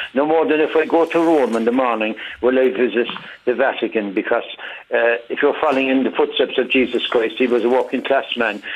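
Over noticeable background noise, a man with a Cork accent talks fairly quickly at a medium pitch, with ordinary pitch variation and very even loudness. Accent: Cork Irish English. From Ireland, Cork. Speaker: caller. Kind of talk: phone-in radio discussion. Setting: phone call.

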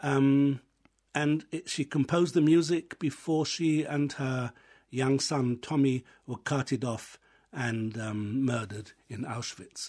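Against a quiet background, a man with an English accent speaks at a very slow pace and fairly high pitch, with ordinary pitch variation. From England. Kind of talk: radio interview. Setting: studio.

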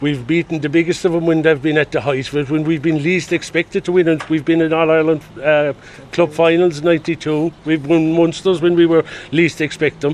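With a Limerick accent, a man speaks in a monotone, flat intonation at a fairly high pitch and fairly quick pace, his loudness very even despite noticeable background noise. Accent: Irish (Limerick). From Kilmallock, Co. Limerick. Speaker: community volunteer. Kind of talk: casual chat.

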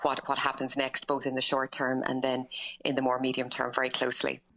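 A woman speaks in a very deep, low pitch with a bright, sharp tone. Her intonation stays monotone and flat. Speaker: transplant medicine expert. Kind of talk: radio interview.

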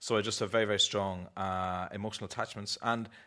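A man with a fairly low pitch and an Irish accent talks at a very fast pace, his tone bright and sharp. His intonation is monotone and flat, and the recording is very clean with a silent background. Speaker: artist and author. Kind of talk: panel discussion.

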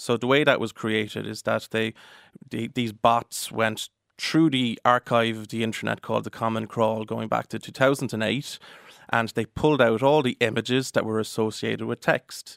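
With an Irish accent, a man of medium pitch talks at a moderate pace with fairly even intonation. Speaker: solicitor. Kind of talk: radio interview.

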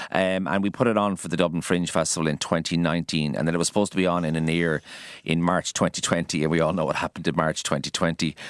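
Speaking very fast with an Irish accent, a man has a very deep, low voice and fairly even intonation. The sound is dry and close with no echo on a very clean recording with a silent background. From Ireland, Kildare. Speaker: chef. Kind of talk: radio interview. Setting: radio studio.

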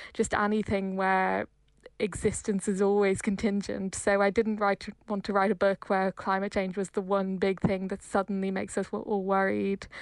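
In an Irish accent, a woman speaks at medium pitch and a moderate pace. Her intonation is monotone and flat, with a dry, close sound and no echo. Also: quiet background. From Ireland. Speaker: novelist. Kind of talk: interview.

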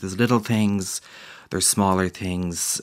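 With an Irish accent, a man talks at a moderate pace in a very deep, low pitch. The recording is very clean, with a silent background. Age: 20s. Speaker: graphic designer and illustrator. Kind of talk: interview. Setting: studio.

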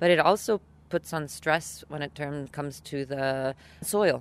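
Recorded very cleanly against a silent background, a woman speaks with ordinary pitch variation. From Italy. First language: Italian. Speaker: farmers' association president. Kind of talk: interview.

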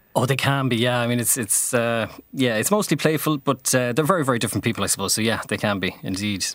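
Speaking at a very fast pace with hardly any pauses, a man with a western Irish accent and medium pitch is heard on a very clean recording with a silent background. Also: ordinary pitch variation. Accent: Irish (west of Ireland). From Ireland, Galway/Mayo. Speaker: playwright. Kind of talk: radio interview. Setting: radio studio.

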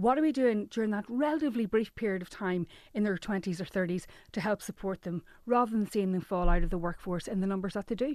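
In an Irish accent, a woman talks at a very fast pace. Her medium pitch shows ordinary variation against a quiet background. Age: 40s. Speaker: journalist. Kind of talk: radio interview.

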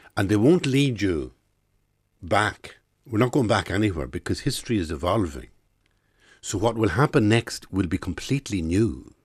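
In a very clean recording with a silent background, a man with a fairly low voice and vocal fry speaks at a moderate pace, his pitch swinging very widely between long, frequent pauses. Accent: Irish. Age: 60s. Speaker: writer and playwright. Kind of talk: interview.

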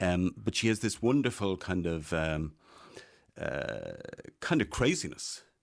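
With a Dublin accent, a man speaks at a very deep, low pitch with ordinary pitch variation. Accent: Irish, Dublin. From Ireland, Dublin (born in Meath). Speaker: film-maker and writer. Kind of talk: casual chat. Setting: studio.

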